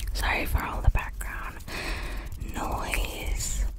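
Whispering and soft-spoken, a woman talks at a very slow pace. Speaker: ASMR creator. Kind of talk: ASMR whisper chat. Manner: soft close-mic ASMR whisper. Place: home room. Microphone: studio mic.

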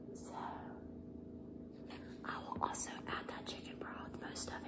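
A soft-spoken woman whispers in a calm tone at a moderate pace. Loud background noise runs behind her. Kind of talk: cooking tutorial. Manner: soft ASMR whisper, calm instruction. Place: kitchen. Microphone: phone near.

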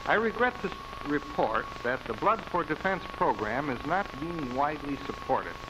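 Over noticeable background noise, a man with a high pitch and very wide pitch swings talks at a moderate pace with hardly any pauses. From Milwaukee, Wisconsin. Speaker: city mayor. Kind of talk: public appeal in a newsreel. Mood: serious, urgent appeal. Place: office. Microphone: studio mic.

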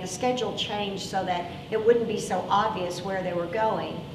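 A woman at a moderate pace with ordinary pitch variation, amid noticeable background noise. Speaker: pastor. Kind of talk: sermon. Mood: earnest, grave. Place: church. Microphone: lapel.

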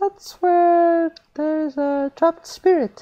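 A man puts on a squeaky character voice at an extremely high pitch. He speaks at a fairly slow pace. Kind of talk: horror story reading. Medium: read story. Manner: chatty.

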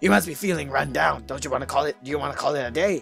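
Faint music sits behind a raspy put-on character voice at a low-to-middle pitch, delivered at a very fast pace. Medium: game stream. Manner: gruff, brisk.

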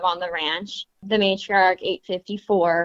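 A woman with a normal speaking voice talks at a medium pitch and a moderate pace. The sound is dry and close, with no echo. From US West (Montana). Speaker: cattle rancher. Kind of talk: interview. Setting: phone call.

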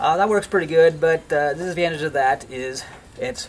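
A man's voice with ordinary pitch variation over light background noise. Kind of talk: tutorial. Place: garden. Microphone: camera far.

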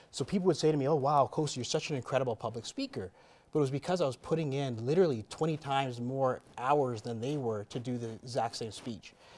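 A man with a Canadian accent talks at a very fast pace with ordinary pitch variation. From Canada. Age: 30s. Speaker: entrepreneur and real estate investor; interview guest. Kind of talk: interview. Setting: studio. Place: studio.

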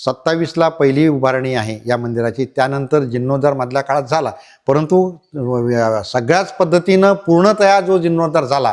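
This is a man with a plain, everyday voice. His pitch is fairly high and shows ordinary variation. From Konkan, Ratnagiri district (Lanja). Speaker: writer and community leader. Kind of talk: on-site interview explaining temple history. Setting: outdoors at village temple.

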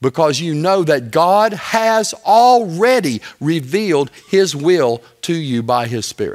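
A man speaks very slowly, and the background is quiet. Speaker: teacher or preacher. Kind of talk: sermon. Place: church.

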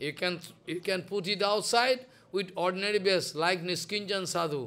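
Bright and sharp in tone, a man's high-pitched voice moves at a fairly slow pace with ordinary pitch variation. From India. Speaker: spiritual teacher. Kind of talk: religious discourse. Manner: repetitive. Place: home room. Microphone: studio mic.

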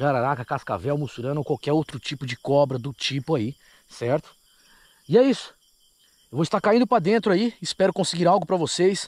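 Pitch swings very widely at a fairly quick pace. The sound is dry with no echo. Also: man. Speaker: paranormal investigator vlogger. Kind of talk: casual vlog chat. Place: open country. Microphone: phone near.

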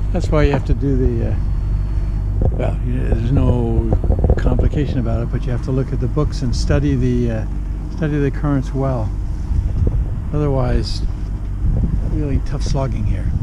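A man speaks at a moderate pace with long, frequent pauses. Loud background noise fills the dry recording, which has no echo. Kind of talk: casual vlog chat. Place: boat. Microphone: phone near.

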